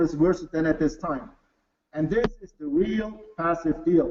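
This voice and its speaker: This is a man speaking. He has a German accent. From Bavaria, Germany. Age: 40s. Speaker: company executive. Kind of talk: sales pitch. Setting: webinar. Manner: halting.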